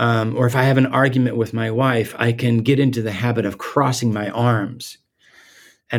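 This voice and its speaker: The voice moves at a moderate pace with monotone, flat intonation. The recording is very clean, with a silent background. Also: man. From Guatemala. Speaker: theology professor and author. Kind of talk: interview. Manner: halting, with frequent repetitions and fillers.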